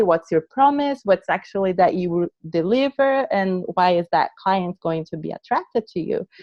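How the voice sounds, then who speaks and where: A woman with a non-native accent speaks at a moderate pace in a medium pitch. Her intonation is lively. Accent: foreign. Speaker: branding coach, entrepreneur. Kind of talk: casual interview chat.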